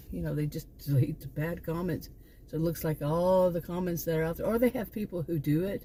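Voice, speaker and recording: The voice is somewhat breathy, with a dark, mellow tone. It moves at a moderate pace with ordinary pitch variation. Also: woman. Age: 60s. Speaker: vlogger, former college teacher. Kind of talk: casual vlog monologue. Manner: halting, with frequent restarts.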